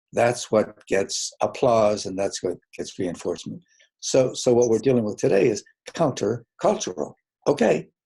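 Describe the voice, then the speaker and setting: The man's medium-pitched voice is dark, mellow and somewhat breathy, with lively intonation at a moderate pace. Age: 80s+. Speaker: clinical psychologist. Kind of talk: webinar presentation. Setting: online webinar. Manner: halting.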